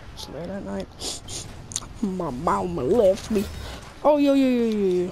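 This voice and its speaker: The voice moves at a fairly slow pace with lively intonation, over noticeable background noise and audible room echo. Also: woman. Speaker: gaming youtuber. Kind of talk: gameplay commentary. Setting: home recording at night. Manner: loud.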